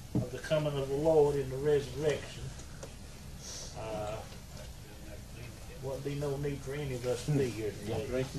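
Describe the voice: There is audible room echo. A man talks at a medium pitch.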